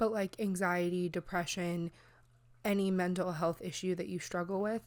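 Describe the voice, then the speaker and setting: On a very clean recording with a silent background, a woman speaks at a medium pitch and a moderate pace in a monotone, flat intonation. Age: 20s. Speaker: podcast host. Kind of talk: casual chat. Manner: halting, filler-heavy.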